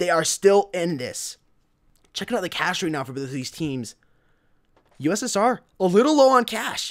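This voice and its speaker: On a very clean recording with a silent background, a man talks at a high pitch with very wide pitch swings and long, frequent pauses. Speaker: esports caster. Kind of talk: live commentary. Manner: fast.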